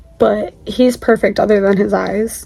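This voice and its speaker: A woman's unremarkable speaking voice, fairly high in pitch, with fairly even intonation. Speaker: crochet crafter and small seller. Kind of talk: casual video walkthrough. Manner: casual, filler-heavy.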